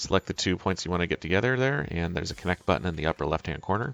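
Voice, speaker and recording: Very fast, mumbling male speech with lively intonation and a very deep, low pitch, dry and close with no echo, over music in the background. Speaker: software tutorial presenter. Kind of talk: live tutorial. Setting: live webinar. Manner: mumbling to himself.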